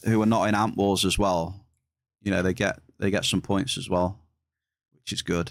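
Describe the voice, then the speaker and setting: Speaking at a moderate pace, a man talks in a West Midlands accent. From England, West Midlands. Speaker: video game streamer. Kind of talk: live stream chat. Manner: casual, chatty.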